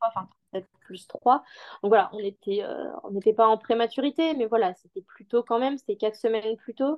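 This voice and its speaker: Her loudness swings widely as a woman speaks at a moderate pace with ordinary pitch variation. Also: fairly high pitch for a woman. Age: 20s. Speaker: mother sharing birth story. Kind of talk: personal testimony interview. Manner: calm, measured; hesitant, many fillers.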